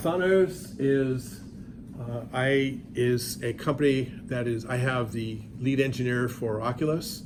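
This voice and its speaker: A man with an American accent, medium pitch, and ordinary pitch variation, amid noticeable background noise and audible room echo. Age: 60s. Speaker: professor. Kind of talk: lecture. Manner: animated.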